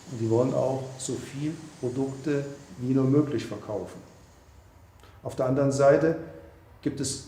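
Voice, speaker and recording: Somewhat breathy with a dark, mellow tone, a man at medium pitch speaks at a moderate pace with fairly even intonation and long, frequent pauses, with audible room echo. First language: German. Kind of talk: documentary interview.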